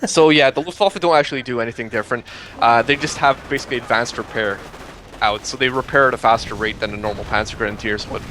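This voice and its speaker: At a very fast pace, a man talks at a medium pitch with ordinary pitch variation amid noticeable background noise. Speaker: game commentator. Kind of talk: live commentary. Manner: animated.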